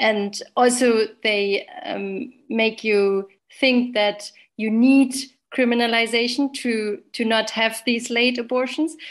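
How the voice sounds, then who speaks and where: Against a quiet background, a woman with a German accent speaks at a very slow pace, her fairly high voice following fairly even intonation. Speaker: obstetrician. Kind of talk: interview.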